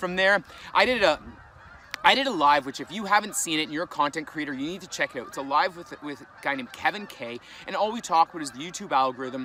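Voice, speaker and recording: A man with a fairly high pitch and a Canadian accent, talking very fast, with big swings in loudness over noticeable background noise. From Canada. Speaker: vlogger and fitness content creator. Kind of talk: casual vlog talk to camera.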